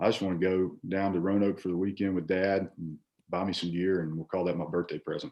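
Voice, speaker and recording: In a strong Virginia accent, a man speaks at a fairly quick pace in a very deep, low voice. His intonation is flat and monotone. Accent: heavy Virginia. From Virginia, Shenandoah Valley (Staunton). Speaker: former college baseball player. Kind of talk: casual chat. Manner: halting, many fillers and repeats.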